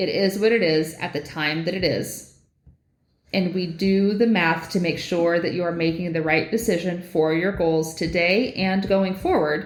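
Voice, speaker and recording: Audible room echo surrounds a woman's fairly low-pitched voice, delivered at a moderate pace with fairly even intonation. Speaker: mortgage lender, podcast co-host. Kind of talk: casual podcast chat.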